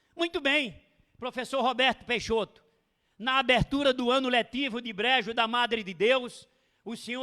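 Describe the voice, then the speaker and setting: A raised, projected voice with a bright, sharp tone at a fairly slow pace, dry and close with no echo, on a very clean recording with a silent background. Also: man. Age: 60s. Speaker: lecturer, veteran teacher. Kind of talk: lecture. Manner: formal.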